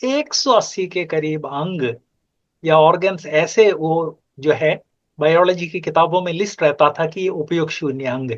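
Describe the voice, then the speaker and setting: High-pitched with ordinary pitch variation, a man speaks. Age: 70s. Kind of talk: conversational discussion. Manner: emphatic.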